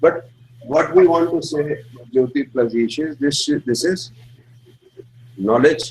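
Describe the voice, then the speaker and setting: A man with an Indian accent and ordinary pitch variation, heard over noticeable background noise. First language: Hindi. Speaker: astrology teacher. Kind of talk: lecture.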